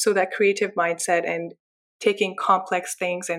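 This woman has a medium-pitched voice and moves at a moderate pace. Her intonation is monotone and flat. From Pakistan, then Windsor, Ontario. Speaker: graduate student researcher. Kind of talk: interview conversation.

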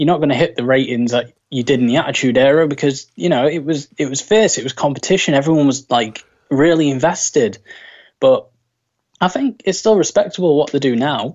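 With a British accent, a man speaks at a fairly quick pace in a fairly high voice with ordinary pitch variation. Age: 20s. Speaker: wrestling fan. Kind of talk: casual chat.

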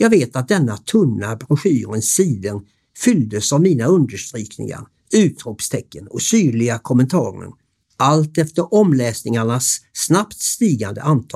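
A man's medium-pitched, somewhat breathy voice with very wide pitch swings, on a very clean recording with a silent background. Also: fairly slow pace. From Sweden, Varberg (Halland). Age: 60s. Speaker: hotel owner telling his life story. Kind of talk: scripted narration. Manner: formal.

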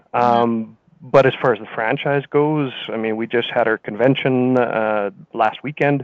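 An unremarkable speaking voice from a man with a Canadian accent, medium pitch, fairly even intonation and a moderate pace. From British Columbia, Canada (Kelowna). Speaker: franchise business owner. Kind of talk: interview.

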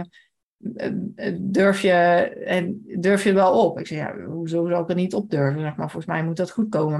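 A plain, everyday voice from a woman, medium in pitch, moderate in pace, with fairly even intonation. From Limburg, Netherlands (Maasbree). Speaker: horse rider. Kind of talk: casual chat.

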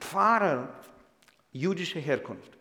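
Male voice with lively intonation and audible room echo. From Ukraine, Kyiv. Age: 60s. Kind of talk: sermon-style lecture; interview.

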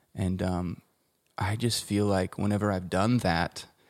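A man with an American accent, fairly low in pitch, at a fairly slow pace with ordinary pitch variation, a normal speaking voice, dry and close with no echo, on a very clean recording with a silent background. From Colorado, US. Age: 30s. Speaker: musician and producer. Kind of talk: casual interview chat.

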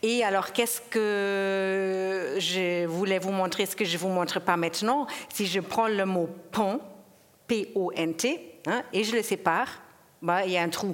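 Noticeable background noise runs under this recording. A woman with a medium-pitched voice speaks very slowly, with ordinary pitch variation. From Germany. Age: 50s. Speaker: sound poet and performer. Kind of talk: panel discussion. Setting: stage with audience.

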